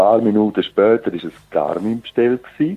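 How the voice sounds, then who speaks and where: Dark, mellow tone at a moderate pace, with a dry, close sound and no echo. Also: man. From Switzerland, Zurich. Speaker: geocacher. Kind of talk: casual interview.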